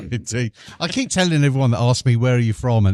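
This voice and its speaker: Recorded very cleanly with a silent background and a dry, close sound with no echo, a man of medium pitch speaks in a British accent with lively intonation. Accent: British, often mistaken for Australian. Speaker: podcast co-host. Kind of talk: casual chat. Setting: live recording in a bar.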